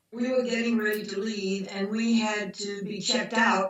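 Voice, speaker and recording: Over noticeable background noise, a woman with an American accent speaks with fairly even intonation. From US South. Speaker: macrobiotics doctor. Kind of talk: interview storytelling.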